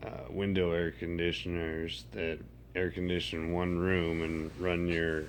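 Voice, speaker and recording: In a room with audible echo, a man with a very deep, low pitch talks at a fairly slow pace with fairly even intonation. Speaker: vlogger with a medical condition. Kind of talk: casual vlog monologue. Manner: rambling, hesitant with many fillers.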